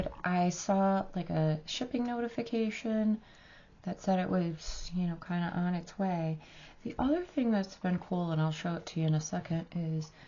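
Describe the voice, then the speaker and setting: A woman's somewhat breathy voice at medium pitch, with an American accent, ordinary pitch variation and a moderate pace. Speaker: beauty vlogger. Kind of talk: makeup review and try-on tutorial. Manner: casual, filler-heavy.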